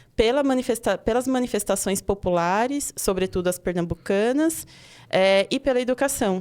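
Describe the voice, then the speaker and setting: Recorded very cleanly with a silent background, a woman speaks in a high voice with ordinary pitch variation. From Pernambuco, Brazil. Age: 30s. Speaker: teacher and education researcher. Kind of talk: podcast interview.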